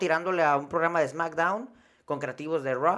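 A man with a Mexican accent, high-pitched and fairly quick, on a very clean recording with a silent background. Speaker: wrestling podcast host. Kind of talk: casual chat.

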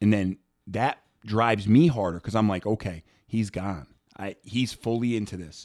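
With an American accent and a normal speaking voice, a man speaks at a fairly low pitch, moderate pace and ordinary pitch variation. The recording is very clean, with a silent background. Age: 30s. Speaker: strength and conditioning coach. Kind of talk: casual interview.

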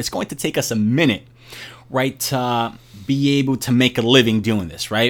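A man with a New York accent speaks at a fairly slow pace. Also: very clean recording, silent background. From Brooklyn, New York. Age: 30s. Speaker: finance worker and YouTuber. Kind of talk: casual chat.

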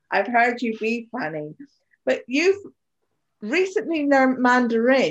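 Here a woman speaks at a high pitch with a British accent. Her pace is fairly slow. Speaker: podcast host. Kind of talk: casual chat.

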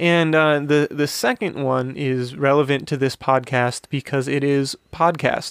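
A man at a fairly slow pace with fairly even intonation and hardly any pauses, in a dry, close sound with no echo. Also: fairly high pitch for a man. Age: 20s. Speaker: podcast co-host, recent music education graduate. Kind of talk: casual chat, quiz game.

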